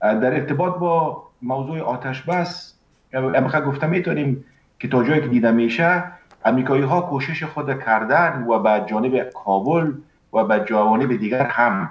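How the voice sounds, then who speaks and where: Over audible room echo, a man talks at a moderate pace with ordinary pitch variation. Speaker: remote guest. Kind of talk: interview answer. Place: home room. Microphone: video call.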